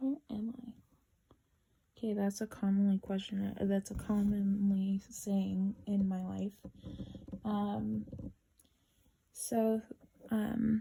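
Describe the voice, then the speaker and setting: Monotone, flat speech from a woman at medium pitch, dark and mellow in tone, somewhat breathy, very slow, with long, frequent pauses. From Canada. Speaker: cross-stitch vlogger. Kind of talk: casual chat. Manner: halting, many fillers.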